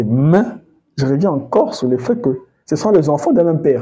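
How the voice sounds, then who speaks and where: Lively in intonation, a man talks at a fairly quick pace in a fairly high voice. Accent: Congolese. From Congo. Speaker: history commentator. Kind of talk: educational talk. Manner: hesitant, with many fillers.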